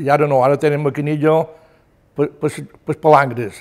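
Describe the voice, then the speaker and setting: Monotone, flat intonation in a Mallorcan accent, at a fairly slow pace over a quiet background. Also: man. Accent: Mallorcan Catalan. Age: 80s+. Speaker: retired fisherman. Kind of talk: oral history testimony. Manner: halting. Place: home room.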